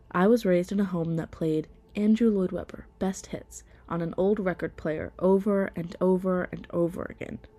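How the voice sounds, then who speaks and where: Over music in the background, a woman with an American accent speaks at a moderate pace in a medium pitch with monotone, flat intonation. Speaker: theater student. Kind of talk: personal podcast narration.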